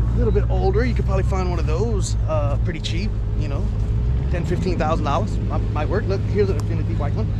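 A man talks at a very fast pace over loud background noise, the sound dry with no echo. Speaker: vlogger. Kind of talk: casual vlog chat. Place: open country. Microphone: phone near.

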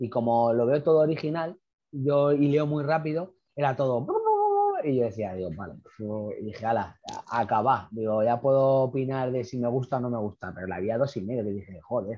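Over a quiet background, the speech runs at a fairly quick pace with ordinary pitch variation. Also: man, medium pitch for a man. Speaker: interviewer, channel host. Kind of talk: casual interview chat. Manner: fast. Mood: amused, joking. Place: home room. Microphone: earbuds.

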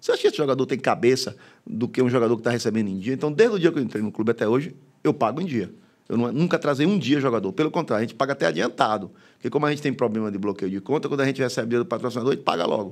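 A very fast pace with lively intonation. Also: man, medium pitch for a man, quiet background. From Bahia, Brazil (interior, moved to Salvador at 14). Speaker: football club president; guest. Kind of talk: casual interview. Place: studio. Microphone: studio mic.

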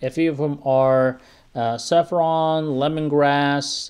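Very slow delivery from a man, fairly high in pitch, fairly even intonation, quiet background. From Turkey. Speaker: health educator. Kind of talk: educational talk. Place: office.

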